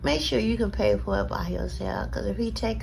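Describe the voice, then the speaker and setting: A woman talks fairly quickly in a space with audible room echo and noticeable background noise. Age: 60s. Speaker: vlogger giving life advice. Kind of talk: casual advice monologue.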